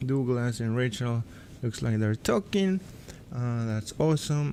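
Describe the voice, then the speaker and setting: A man's medium-pitched voice with a dark, mellow tone, lively intonation, and a fairly slow pace. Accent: Peruvian. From Peru. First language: Spanish. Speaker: AutoCAD instructor and livestream host. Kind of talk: live stream tutorial, reading chat comments. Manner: animated.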